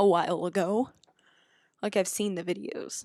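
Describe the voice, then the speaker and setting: The recording is very clean, with a silent background. A woman speaks quietly at a moderate pace in a monotone, flat delivery. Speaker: gaming YouTuber. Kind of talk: gameplay commentary. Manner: hesitant.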